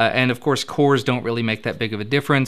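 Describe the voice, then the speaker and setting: This man talks at a very fast pace. His intonation is fairly even, with a slight Kentucky accent. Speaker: tech news show host. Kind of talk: tech news roundup. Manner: casual, conversational.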